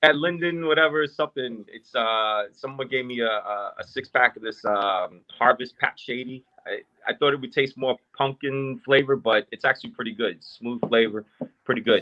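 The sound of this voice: A bright, sharp tone at a moderate pace, with ordinary pitch variation. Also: man, medium pitch for a man.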